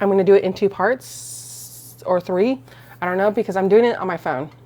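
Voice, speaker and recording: A woman talks at a medium pitch with very wide pitch swings. Noticeable background noise runs behind her. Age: 30s. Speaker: crafting and book vlogger. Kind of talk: casual vlog chat. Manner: fast; halting, many fillers and restarts. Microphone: small add-on microphone on phone.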